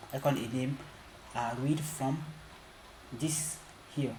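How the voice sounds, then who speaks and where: A man talks fairly slowly and with fairly even intonation while noticeable background noise runs underneath. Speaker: programming tutorial creator. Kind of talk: tutorial. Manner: halting.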